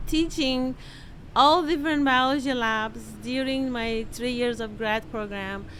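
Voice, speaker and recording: A woman speaks at a high pitch with a Persian accent and ordinary pitch variation. Her pace is fairly slow, and the room echo is audible. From Iran. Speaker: microbiology professor and novelist. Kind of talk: interview.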